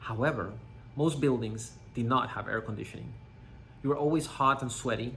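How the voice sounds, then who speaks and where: A man with a Panamanian accent speaks fairly quickly in a bright, sharp tone, with audible room echo. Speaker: company CEO. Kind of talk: scripted presentation. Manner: formal.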